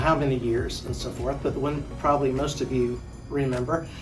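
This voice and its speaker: Over background music and audible room echo, a man with an American accent talks at a fairly quick pace. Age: 70s. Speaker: teacher and coach. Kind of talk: reminiscing talk. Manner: halting.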